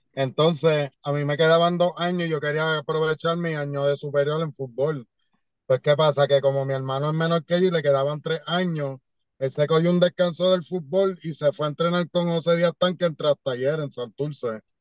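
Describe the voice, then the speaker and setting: A man with a plain, everyday voice speaks at a fairly high pitch and a moderate pace. His intonation is fairly even, and the sound is dry with no echo over a quiet background. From Puerto Rico. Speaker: professional wrestler; podcast guest. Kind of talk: casual interview. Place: car. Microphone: video call.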